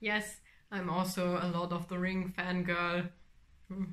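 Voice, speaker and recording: A woman's fairly low voice with a German accent, very slow and monotone, broken by long, frequent pauses. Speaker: knitting podcaster. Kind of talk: casual vlog chat. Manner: halting, many fillers.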